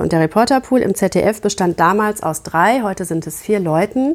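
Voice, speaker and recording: A woman speaks in an unremarkable speaking voice. Her pitch is medium with ordinary variation. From Germany, Gütersloh (Westphalia). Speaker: TV journalist. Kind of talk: interview conversation.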